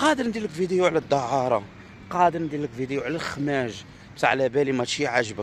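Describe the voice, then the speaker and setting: An animated, fairly quick voice with lively intonation and an Algerian accent, over noticeable background noise. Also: man. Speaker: Algerian visitor vlogger. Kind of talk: casual vlog monologue.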